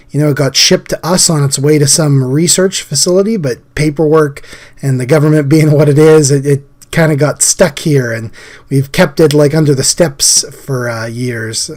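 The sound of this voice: A man's fairly high voice at a moderate pace, with fairly even intonation and a slightly mellow tone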